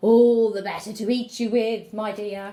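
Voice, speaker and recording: A woman growls in a put-on character voice at a fairly high pitch. Her pace is moderate and her intonation monotone and flat. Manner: growling, menacing.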